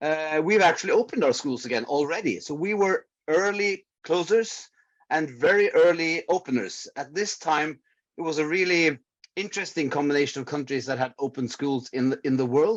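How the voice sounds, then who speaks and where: The speaker has a Norwegian accent. The pace is moderate. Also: man. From Norway. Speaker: public health researcher. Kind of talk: conference presentation. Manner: hesitant, many filler words.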